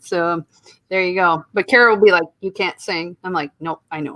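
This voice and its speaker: With a Midwestern accent, a woman speaks at a medium pitch in a dry, close sound with no echo. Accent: Midwest. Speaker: podcast co-host. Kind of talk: casual chat. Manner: animated.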